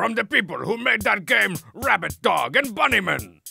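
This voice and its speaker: A man's put-on character voice over faint music in the background. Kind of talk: comic trailer hype. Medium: game stream. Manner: brash, sarcastic, bombastic.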